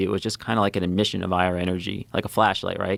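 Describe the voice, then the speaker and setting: Recorded very cleanly against a silent background, with a dry, close sound and no echo, a man with a slight New England accent speaks at a fairly quick pace. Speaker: former navy fighter pilot. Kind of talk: interview conversation. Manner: halting, many fillers.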